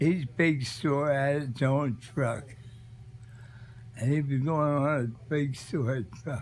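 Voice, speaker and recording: A man's fairly high, somewhat breathy voice at a very slow pace, fairly even in intonation, with long, frequent pauses. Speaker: grandfather sharing life memories. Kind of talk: casual reminiscing talk to family.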